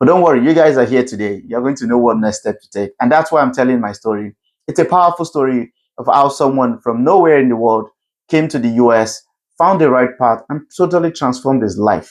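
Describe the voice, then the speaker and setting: With a Nigerian accent, the speaker moves at a fairly quick pace. The loudness swings widely while the pitch varies in an ordinary way. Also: man, medium pitch for a man. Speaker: CEO and keynote speaker. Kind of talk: keynote talk.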